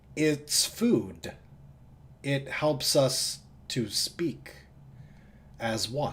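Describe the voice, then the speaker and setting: A man uses a put-on character voice at a medium pitch. He talks at a very slow pace, with long, frequent pauses. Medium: actual play. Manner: simple, earnest phrasing.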